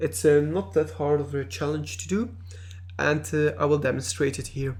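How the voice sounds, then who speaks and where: A man with a non-native accent speaks at a moderate pace in a fairly high voice, his pitch swinging very widely, with vocal fry. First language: not English. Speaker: video game reviewer. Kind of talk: gameplay commentary. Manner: halting, many fillers.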